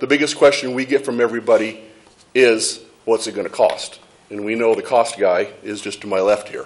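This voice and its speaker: Speaking at a fairly quick pace with big swings in loudness, a man is heard against noticeable background noise. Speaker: fire chief. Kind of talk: presentation at public meeting. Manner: fast.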